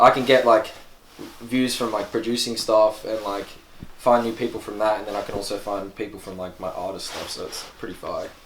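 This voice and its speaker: A man with an Australian accent speaks at a fairly low pitch. His pace is fairly quick, and his intonation is monotone and flat. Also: big swings in loudness. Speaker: rapper and producer. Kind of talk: casual interview. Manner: casual, filler-heavy.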